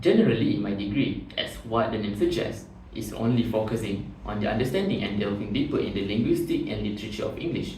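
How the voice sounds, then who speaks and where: Speaking at a very fast pace with hardly any pauses, a man is heard amid noticeable background noise and audible room echo. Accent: Malaysian. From Malaysia, Batu Pahat (Johor). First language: Malay. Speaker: job interview candidate. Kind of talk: mock job interview. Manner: formal.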